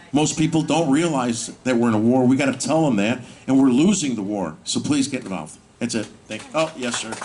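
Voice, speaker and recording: An animated, lively-sounding man with an American accent over noticeable background noise. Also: medium pitch for a man. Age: 60s. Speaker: political activist speaker. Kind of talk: rally speech.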